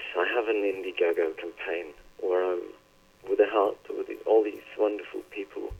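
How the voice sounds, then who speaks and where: Here a man talks with a Norwegian accent. His pace is moderate. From northern Norway. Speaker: poet. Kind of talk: interview conversation.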